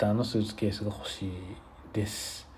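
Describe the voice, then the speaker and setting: A man speaks in a dark, mellow tone with flat, monotone intonation and a somewhat breathy quality. Audible room echo surrounds his voice. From Japan. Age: 30s. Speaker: podcaster. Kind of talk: casual solo monologue. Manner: relaxed, filler-heavy.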